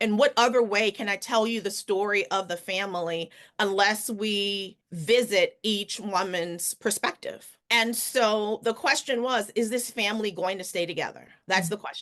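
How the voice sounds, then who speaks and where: A woman with a New Orleans accent, hardly any pauses and fairly even intonation, against a quiet background. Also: medium pitch for a woman, moderate pace. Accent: Southern US, New Orleans. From New Orleans, Louisiana. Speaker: author and physician. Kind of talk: interview answer.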